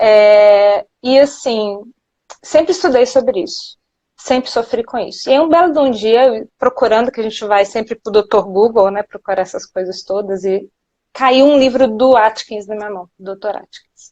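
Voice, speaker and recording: A woman's dark, mellow voice at a moderate pace with big swings in loudness. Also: ordinary pitch variation. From Minas Gerais, Brazil. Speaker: nutritionist. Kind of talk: live interview. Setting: Instagram live.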